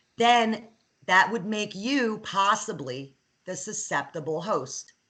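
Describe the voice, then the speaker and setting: The woman's voice sits at a fairly high pitch. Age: 50s. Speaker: nursing instructor. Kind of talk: lecture. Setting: video call. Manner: conversational.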